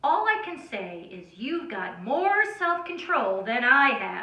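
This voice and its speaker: Putting on a character voice, a woman projects loudly at a high pitch with very wide pitch swings and a fairly slow pace, with a slight echo around her. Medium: read story. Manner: bold, eager.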